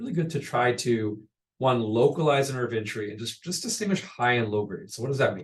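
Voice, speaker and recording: A man speaks at a medium pitch with lively intonation. His voice is somewhat breathy. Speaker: pediatric radiologist presenting. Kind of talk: medical lecture. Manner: fast.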